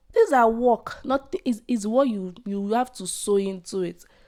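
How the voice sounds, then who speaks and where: A woman's fairly high voice with a dark, mellow tone, on a very clean recording with a silent background. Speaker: podcaster. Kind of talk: casual podcast talk to camera.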